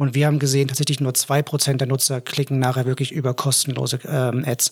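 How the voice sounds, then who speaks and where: A somewhat breathy man's voice, fairly high and fairly quick, dry and close with no echo. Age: 30s. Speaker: head of product at marketing agency. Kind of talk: casual business chat. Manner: hesitant with frequent filler sounds.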